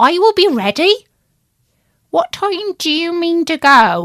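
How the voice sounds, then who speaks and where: A woman puts on a character voice at an extremely high pitch, speaking at a fairly slow pace. The recording is very clean, with a silent background. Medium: read story. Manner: polite but defiant.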